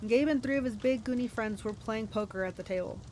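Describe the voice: The pitch varies in an ordinary way as someone does plain reading aloud.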